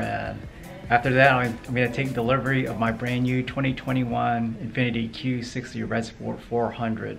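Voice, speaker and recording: A man speaking at a moderate pace in a flat monotone, with faint music in the background. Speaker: car buyer vlogger. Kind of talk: casual vlog chat. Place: shop. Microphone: phone near.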